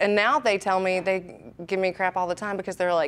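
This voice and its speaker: With a Southern accent, a woman speaks. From Alabama. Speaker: radio DJ. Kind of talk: interview. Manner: casual, chatty.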